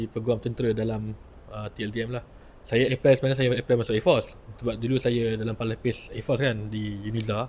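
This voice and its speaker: At a very fast pace, a man speaks with a medium pitch and monotone, flat intonation. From Penang, Malaysia. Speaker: lawyer, former naval cadet. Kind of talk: testimony.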